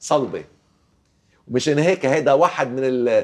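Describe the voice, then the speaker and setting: Against a quiet background, a man talks in a fairly high-pitched voice. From Lebanon. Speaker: archaeologist; guest. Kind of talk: TV interview. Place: studio. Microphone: lapel.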